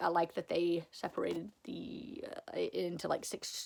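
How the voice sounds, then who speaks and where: Vocal fry marks this fairly slow delivery. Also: woman. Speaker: booktuber. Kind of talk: casual haul video. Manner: animated.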